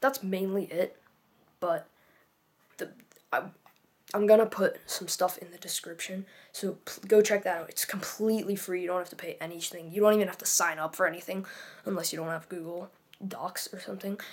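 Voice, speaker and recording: Quiet overall yet with big swings in loudness, a woman at medium pitch speaks with fairly even intonation and long, frequent pauses. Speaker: fitness youtuber. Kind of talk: casual vlog tutorial. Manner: halting, many fillers.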